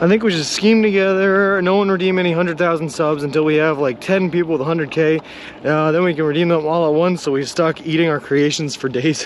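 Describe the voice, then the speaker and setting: Noticeable background noise sits behind a man with an American accent and a fairly high pitch. He talks at a very fast pace, with fairly even intonation and very even loudness. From Boston area, Massachusetts (Lowell). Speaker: long-distance walker and live streamer. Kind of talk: live stream chat reading while walking. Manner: casual, joking.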